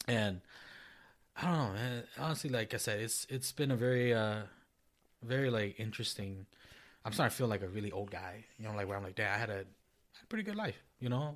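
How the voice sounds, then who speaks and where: A man with a Minnesotan accent speaks at a medium pitch with ordinary pitch variation. His pace is fairly quick, and the recording is very clean with a silent background. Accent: Minnesota. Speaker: podcast co-host. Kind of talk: casual chat.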